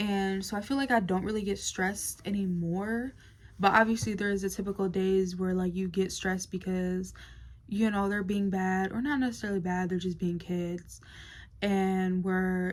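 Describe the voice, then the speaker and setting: Medium pitch from a woman, fairly even intonation, moderate pace. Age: 20s. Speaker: vlogger. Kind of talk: casual talk to camera. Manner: hesitant, many fillers.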